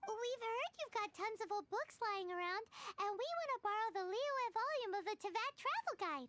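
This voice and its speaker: This is a put-on character voice, squeaky and extremely high in pitch. It moves at a moderate pace. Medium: video game. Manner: blunt, lively.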